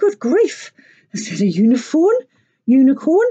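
Putting on a character voice, a woman speaks at a moderate pace, pitched high with very wide pitch swings. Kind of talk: reading a picture book aloud. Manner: shrieking in great surprise.

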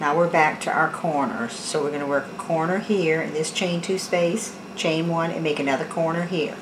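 At a moderate pace, a woman talks in a low pitch with fairly even intonation against clear background noise.

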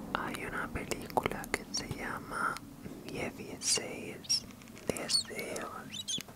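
A woman is whispering. Her pace is very slow. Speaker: ASMR creator. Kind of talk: ASMR trigger-words video, whispered. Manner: soft, whispered, relaxing. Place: home room. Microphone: studio mic.

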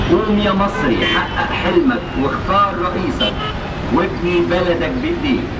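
The speaker goes at a very slow pace over loud background noise. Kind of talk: public address slogans.

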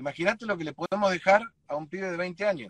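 A man speaks at a moderate pace. The sound is dry with no echo, and the background is quiet. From Argentina, Chaco province. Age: 40s. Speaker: political candidate; candidate. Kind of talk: interview. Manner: halting, repeats words. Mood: earnest, concerned. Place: car. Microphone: video call.

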